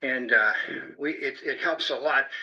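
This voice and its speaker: A man's voice with noticeable background noise. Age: 70s. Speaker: amateur radio club leader. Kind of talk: club meeting announcements. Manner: casual, hesitant with fillers.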